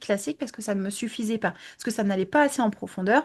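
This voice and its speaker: Breathing somewhat audibly, a woman speaks at a very fast pace with lively intonation over a quiet background. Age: 20s. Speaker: image consultant. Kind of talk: interview. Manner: hesitant, many fillers.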